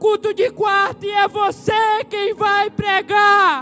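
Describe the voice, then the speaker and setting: At a fairly slow pace, a man projects a raised voice at an extremely high pitch. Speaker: pastor. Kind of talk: sermon.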